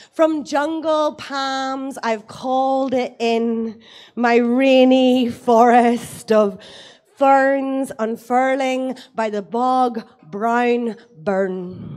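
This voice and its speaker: A woman with an Irish accent speaks at a very slow pace. Her pitch is high. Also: fairly even intonation. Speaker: poet. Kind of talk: poetry reading.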